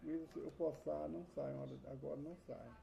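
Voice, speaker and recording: A soft-spoken man talks. His pace is moderate. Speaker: Bible teacher. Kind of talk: personal testimony. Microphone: added mic, still too quiet.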